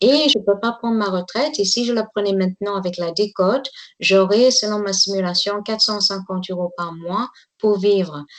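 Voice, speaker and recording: A woman's moderately paced speech, her pitch varying in an ordinary way. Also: medium pitch for a woman. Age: 60s. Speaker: tour guide. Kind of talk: interview testimony. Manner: halting.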